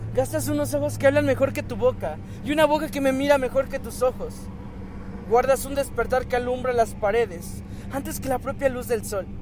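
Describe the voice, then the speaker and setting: The speaker is a man at a moderate pace. Noticeable noise sits behind him. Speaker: spoken word poet.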